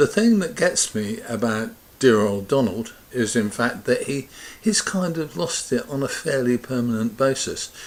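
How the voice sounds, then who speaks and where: With lively intonation, a man talks at a fairly slow pace over noticeable background noise. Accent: British. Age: 70s. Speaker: pensioner vlogger. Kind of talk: casual opinion talk to camera. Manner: conversational, rambling.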